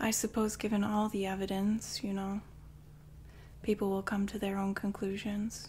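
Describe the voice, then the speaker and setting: Somewhat breathy, a woman speaks at medium pitch with monotone, flat intonation. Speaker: ASMR performer playing a murderess. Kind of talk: ASMR true crime monologue in character, bedtime ghost story style. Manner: hushed, slow, eerie and sinister, dramatic pauses.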